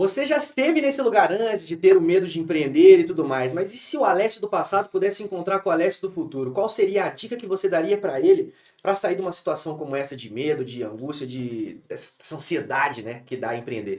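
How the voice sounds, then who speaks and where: Speaking at a very fast pace with hardly any pauses, a man uses a high pitch, very wide pitch swings and big swings in loudness. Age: 20s. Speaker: podcast interviewer. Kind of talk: business podcast conversation.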